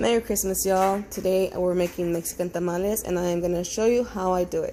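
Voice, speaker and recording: Her tone is dark and mellow, at medium pitch for a woman. She speaks at a very fast pace with fairly even intonation. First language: Spanish. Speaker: home cook. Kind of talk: tutorial. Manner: casual, hesitant with fillers.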